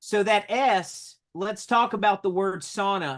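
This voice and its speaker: Against a quiet background, a man with a North Carolina accent speaks at a very slow pace in a high pitch with ordinary pitch variation. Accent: North Carolina country. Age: 30s. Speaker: solar sales leader. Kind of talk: motivational talk with interpreter.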